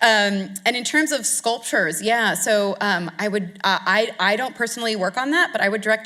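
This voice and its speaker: At a very fast pace, a woman talks with ordinary pitch variation against noticeable background noise. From United States. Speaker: art historian. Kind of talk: lecture Q&A. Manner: halting, many fillers.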